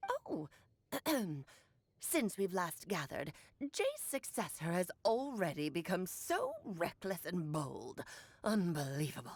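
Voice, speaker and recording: A put-on character voice moves at a fairly slow pace. It leaves long, frequent pauses. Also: woman, medium pitch for a woman. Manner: scolding, haughty.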